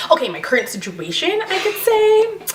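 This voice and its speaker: With an American accent, a woman speaks at a moderate pace with very wide pitch swings over noticeable background noise. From New York. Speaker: beauty and lifestyle vlogger. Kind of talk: casual Q&A vlog. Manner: hesitant.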